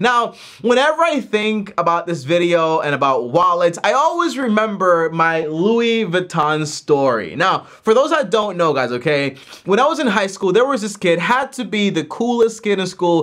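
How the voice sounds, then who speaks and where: A man's pitch swings very widely as he speaks at a moderate pace. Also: quiet background. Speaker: personal finance youtuber. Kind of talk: casual vlog chat. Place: home room.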